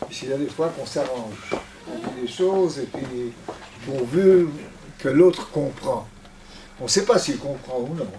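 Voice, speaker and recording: A man with a fairly high pitch speaks at a fairly slow pace with lively intonation, big swings in loudness and long, frequent pauses, amid audible room echo and noticeable background noise. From Belgium (Antwerp), later Israel. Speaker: retired diplomat and guest speaker. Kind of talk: lecture testimony. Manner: halting, searching for words.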